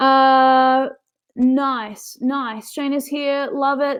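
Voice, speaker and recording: A woman with a New Zealand accent and a high pitch. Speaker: business coach. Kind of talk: webinar presentation. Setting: online webinar. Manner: casual, filler-heavy.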